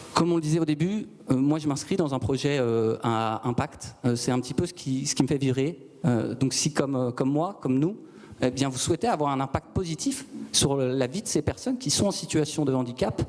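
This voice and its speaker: A man's fairly high-pitched voice over noticeable background noise. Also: ordinary pitch variation, fairly quick pace. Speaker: startup founder. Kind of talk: sales pitch. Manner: calm; measured.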